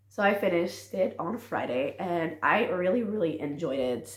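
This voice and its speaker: A woman with a fairly low pitch speaks with lively intonation. Audible room echo surrounds her voice. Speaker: booktuber, reading vlogger. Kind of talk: casual vlog chat. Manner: casual, filler-heavy.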